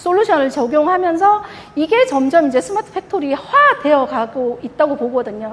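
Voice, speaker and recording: A woman's high-pitched voice at a moderate pace, with very wide pitch swings and noticeable background noise. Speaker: industrial automation product manager presenting. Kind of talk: conference presentation.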